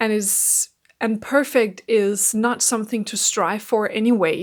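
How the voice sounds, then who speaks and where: A woman speaks with a Danish accent. Her voice is fairly high and her pace fairly slow. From Denmark. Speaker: mindset coach. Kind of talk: casual vlog monologue.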